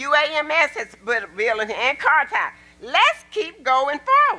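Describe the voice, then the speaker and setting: A woman projects a raised voice at a high pitch in an Arkansas accent. Her pitch swings very widely, and noticeable background noise runs underneath. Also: fairly slow pace. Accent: Southern US (Arkansas). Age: 70s. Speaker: public commenter at council meeting. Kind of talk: public comment speech. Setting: city council meeting. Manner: animated.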